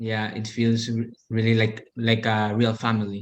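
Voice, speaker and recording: A man with a non-native accent speaks in a medium pitch. His delivery is fairly slow, monotone and flat. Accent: foreign. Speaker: interview guest. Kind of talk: interview.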